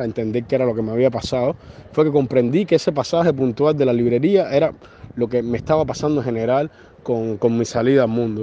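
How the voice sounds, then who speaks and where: Very fast delivery from a man, pitch varying in an ordinary way. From Cuba. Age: 30s. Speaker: journalist. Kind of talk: interview. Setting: phone call. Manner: halting, many fillers and repetitions.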